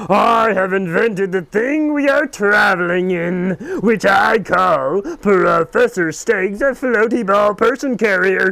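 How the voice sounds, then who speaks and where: This put-on character voice uses lively intonation at a fairly slow pace while holding very even loudness. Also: man, high pitch for a man. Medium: read story. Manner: pompous, formal.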